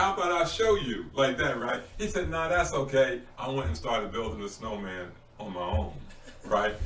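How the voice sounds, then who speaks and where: Noticeable background noise and audible room echo fill this recording. A man with a fairly high voice speaks at a moderate pace. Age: 60s. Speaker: community mentor and author. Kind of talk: casual chat. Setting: podcast recording.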